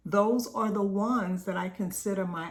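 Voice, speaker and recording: Her voice rests at a medium pitch. Audible echo from the room hangs around the woman's words. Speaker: business coach. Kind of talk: group coaching talk.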